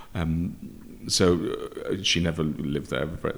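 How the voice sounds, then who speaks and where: A man is speaking. He talks with a Lancashire accent. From Preston, Lancashire, northern England. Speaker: opera music director and conductor. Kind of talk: interview. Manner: halting.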